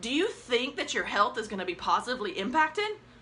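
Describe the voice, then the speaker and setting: A woman's fairly quick speech is heard against noticeable background noise. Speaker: life coach. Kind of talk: live stream talk. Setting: Facebook Live broadcast. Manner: animated; energetic.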